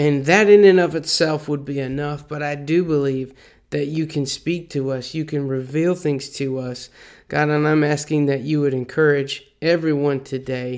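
A plain, everyday voice from a man, fairly high in pitch, with fairly even intonation at a moderate pace. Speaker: church leader leading prayer and scripture reading. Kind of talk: fervent prayer, earnest and heartfelt, addressed to God. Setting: recorded devotional message to congregation. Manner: earnest, pleading; casual, conversational, warm.

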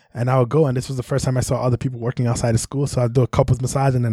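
With a New York accent, a man talks very fast in a medium pitch, his tone dark, mellow and somewhat breathy, his intonation flat and monotone, the sound dry and close with no echo. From New York City (Brooklyn, Bronx). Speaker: massage therapist. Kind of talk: casual chat.

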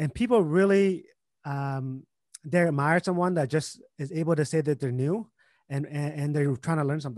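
Over a quiet background, a man with a Vietnamese accent talks at a moderate pace, his pitch fairly high with ordinary variation. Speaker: entrepreneur and investor. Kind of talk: casual interview.

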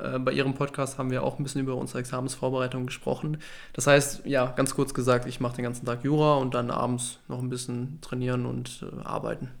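Very fast speech in a monotone, flat delivery. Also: man, medium pitch for a man. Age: 20s. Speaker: law student and podcast co-host. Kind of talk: casual chat.

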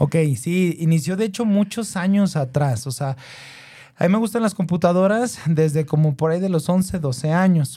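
A man speaks in a high voice with a dark, mellow tone. His pitch varies in an ordinary way. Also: moderate pace. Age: 30s. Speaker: entrepreneur and tech content creator. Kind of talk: interview.

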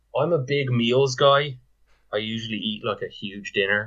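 Speaking at a fairly slow pace, a man of medium pitch has a Dublin accent. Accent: Dublin Irish. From Ireland, Dublin. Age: 30s. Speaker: fantasy football league owner. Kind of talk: casual chat.

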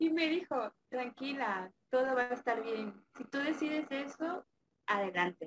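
Raising and projecting her voice, a woman speaks at a fairly slow pace in a bright, sharp tone with very wide pitch swings. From Mexico, Campeche. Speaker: affiliate marketer. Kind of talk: interview.

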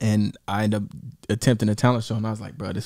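A man with a fairly low pitch talking at a very fast pace over music in the background. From Dayton, Ohio area (Five Oaks). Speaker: rapper. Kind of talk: casual interview.

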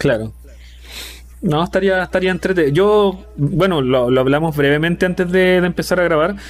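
A man with a high pitch, ordinary pitch variation, very even loudness and a moderate pace. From Chile. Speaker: podcast host. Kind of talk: casual chat. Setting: live stream.

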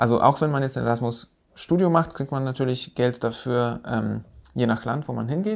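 The speaker is a man using a normal speaking voice. His pace is moderate, with ordinary pitch variation. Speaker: podcast host, landscape architect. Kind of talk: casual chat.

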